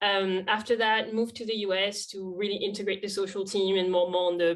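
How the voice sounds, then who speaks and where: A woman with a strong French accent, medium-pitched and fairly quick, in monotone, flat intonation. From France. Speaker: social media lead. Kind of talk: podcast interview.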